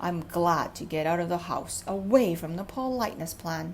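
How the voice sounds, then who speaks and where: Over clear background noise, a woman puts on a gruff, rumbling character voice at a fairly low pitch and a moderate pace. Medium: read story. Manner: gruff, grumbling.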